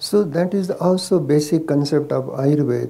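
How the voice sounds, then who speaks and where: With an Indian accent, a man speaks at a fairly slow pace in a fairly high voice with ordinary pitch variation. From India, Maharashtra. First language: Marathi. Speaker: Ayurvedic doctor. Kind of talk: casual chat. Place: garden. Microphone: lapel.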